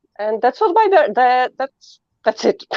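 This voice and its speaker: The voice carries a Polish accent. The sound is dry and close, with no echo. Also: woman. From Poland. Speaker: guest. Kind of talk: casual chat.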